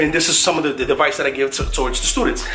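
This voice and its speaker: A man with a New York accent, noticeable background noise and audible room echo. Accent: New York accent, Bronx. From New York, the Bronx. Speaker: mentor to students, Stanford student. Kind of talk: motivational vlog talk. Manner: casual, conversational.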